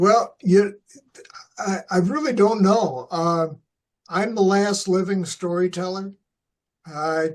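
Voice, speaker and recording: A very slow delivery in an American accent with ordinary pitch variation. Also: man. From US Midwest, Flint, Michigan. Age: 70s. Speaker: retired coach and teacher. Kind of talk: interview. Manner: halting, many fillers.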